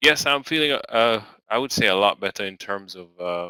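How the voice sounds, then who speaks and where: In a very clean recording with a silent background and a dry, close sound with no echo, a man speaks at a fairly slow pace in a fairly low pitch with a bright, sharp tone. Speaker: day trading live stream host. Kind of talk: live stream market news commentary. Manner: hesitant, many fillers.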